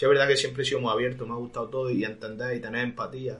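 A man talks at a very fast pace in an Andalusian accent. His medium-pitched voice has monotone, flat intonation. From Andalusia, Spain (Roquetas de Mar, Almería). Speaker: singer. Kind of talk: interview. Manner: halting.

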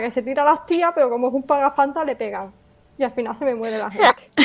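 A woman speaks with ordinary pitch variation. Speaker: podcast host. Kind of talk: casual chat; podcast episode wrap-up.

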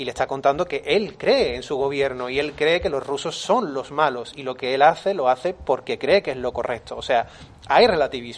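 A man's fairly high voice at a moderate pace, ordinary pitch variation, noticeable background noise. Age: 30s. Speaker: film podcast panelist. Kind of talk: casual chat.

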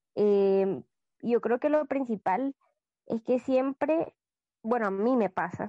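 Against a quiet background, a woman with a dark, mellow tone speaks very slowly, the sound dry and close with no echo. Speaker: podcast co-host. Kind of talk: casual podcast chat.

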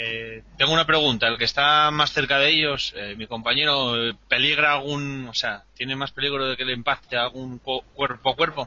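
Noticeable background noise runs under a man's medium-pitched voice. He keeps a moderate pace with fairly even intonation and hardly any pauses. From Asturias, Spain. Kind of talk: role-play game session.

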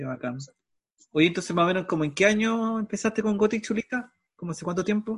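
With a Chilean accent, a man speaks at a very fast pace in a high pitch, with ordinary pitch variation, big swings in loudness, and long, frequent pauses. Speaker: radio host. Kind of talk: interview. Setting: video call.

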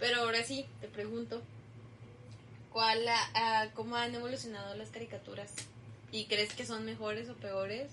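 Noticeable background noise surrounds a woman speaking in an animated tone at a moderate pace with long, frequent pauses. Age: 20s. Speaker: university student podcast co-host. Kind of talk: casual chat. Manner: animated, laughing often.

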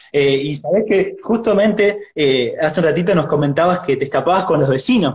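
Fairly quick and high-pitched, a man speaks in a Rioplatense accent. His pitch variation is ordinary. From Argentina. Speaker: church youth interviewer. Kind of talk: live interview. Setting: livestream video call.

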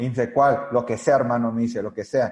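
A man's voice is somewhat breathy, with a dark, mellow tone. He keeps up a fairly quick pace. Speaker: network marketing leader. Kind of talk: interview.

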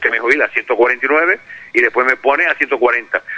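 The sound is dry and close, with no echo. A man's voice is heard. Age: 60s. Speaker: hospital doctor and union representative. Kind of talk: phone interview. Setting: phone call.

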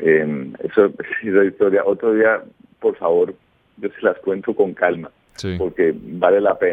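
His volume rises and falls in big swings. The man's pace is fairly slow. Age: 50s. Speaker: former radio host. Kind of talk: radio interview. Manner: calm.

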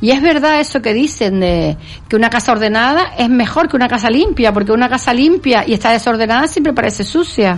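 A woman with a Canarian accent speaks at a high pitch and a fairly quick pace, with hardly any pauses. Her intonation is lively and her loudness very even. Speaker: radio host. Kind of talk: casual radio chat. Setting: studio.

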